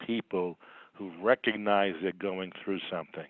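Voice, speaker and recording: Fairly low-pitched and fairly slow, a man speaks with a slight Boston accent. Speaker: psychologist. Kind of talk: webinar presentation. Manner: halting with repetitions.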